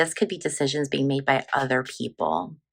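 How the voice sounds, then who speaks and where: Vocal fry is present in a woman's voice. Her tone is bright and sharp. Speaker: tarot reader. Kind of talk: tarot reading vlog; channel promotion.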